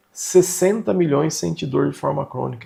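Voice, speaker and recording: A man speaks at a fairly slow pace. His voice sits fairly high in pitch. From Brazil, São Paulo state (Vale do Paraíba). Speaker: manual therapy instructor. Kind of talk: online lecture. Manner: conversational, emphatic.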